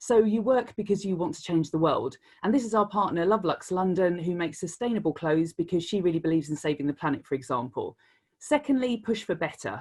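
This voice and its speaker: This voice has a British accent and lively intonation. The pace is very fast. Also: woman, medium pitch for a woman. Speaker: creative director. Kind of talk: Q&A answers; conference talk.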